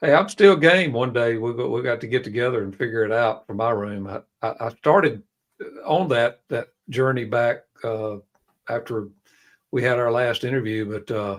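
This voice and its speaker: A man with a Southern US accent, medium pitch, ordinary pitch variation and a moderate pace. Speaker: live stream co-host. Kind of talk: live stream panel discussion.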